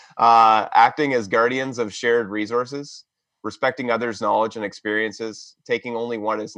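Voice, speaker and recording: Against a quiet background, a man with a fairly low pitch and a bright, sharp tone talks at a fairly quick pace. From southwestern Ontario, Canada. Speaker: environmental studies professor. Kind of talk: interview conversation. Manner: hesitant, many fillers.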